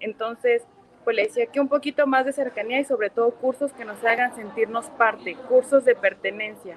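Noticeable noise sits behind a woman's high-pitched voice, though the sound is dry and close with no echo. Her intonation is fairly even and her pace moderate. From Mexico, Puebla. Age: 30s. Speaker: chemistry teacher, club president. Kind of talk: casual chat.

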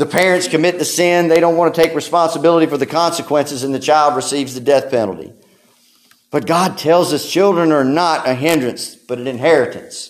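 A man's normal speaking voice, fairly high-pitched for a man, at a fairly quick pace. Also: ordinary pitch variation. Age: 30s. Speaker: pastor. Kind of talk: sermon.

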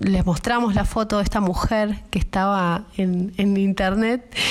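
The pace of this female speaker is fairly unhurried. She sits at a medium pitch. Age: 30s. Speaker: ceramicist. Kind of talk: personal testimony. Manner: halting, repeats words.

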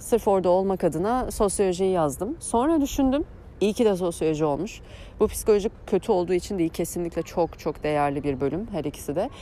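With lively intonation and a dark, mellow tone, a woman at medium pitch speaks at a fairly quick pace. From Turkey, Eskişehir. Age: 30s. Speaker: podcast host and life coach. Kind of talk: personal monologue. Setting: outdoors on morning walks. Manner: halting, many fillers.

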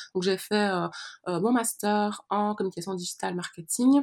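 Fairly even intonation from a woman at medium pitch, in a very clean recording with a silent background. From Belgium. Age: 20s. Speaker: astrologer. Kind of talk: interview. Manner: soft-spoken.

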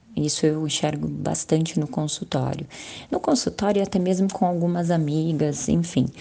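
Her loudness very even, a woman speaks at a moderate pace in a fairly low pitch with ordinary pitch variation. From Brazil, Guarulhos (São Paulo). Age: 30s. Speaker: psychologist. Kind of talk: panel discussion.

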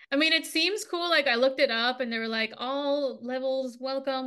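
A woman uses a raised, projected voice with a high pitch and a bright, sharp tone. Her pace is moderate and her pitch variation ordinary. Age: 30s. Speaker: podcast co-host. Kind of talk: casual chat.

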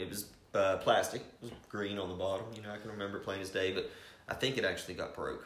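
A man with an Appalachian accent at a very fast pace, with noticeable background noise and audible room echo. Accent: Appalachian American. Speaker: hunting podcast host. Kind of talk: casual chat.

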